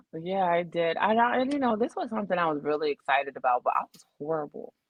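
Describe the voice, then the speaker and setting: A woman with an American accent talks at a very fast pace in a fairly low pitch, with very wide pitch swings and big swings in loudness. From Williamsport, Pennsylvania. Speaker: former college basketball player and coach. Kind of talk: casual podcast interview.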